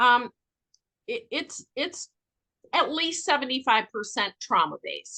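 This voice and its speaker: A woman's raised, projected voice, high in pitch, with a bright, sharp tone and very wide pitch swings, against a quiet background. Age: 60s. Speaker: addiction intake counselor and trauma specialist. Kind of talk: podcast interview.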